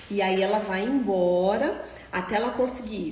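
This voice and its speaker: Lively intonation comes through at a very slow pace, amid audible room echo and noticeable background noise. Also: woman. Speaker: doctor specializing in Down syndrome. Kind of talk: live stream Q&A lecture.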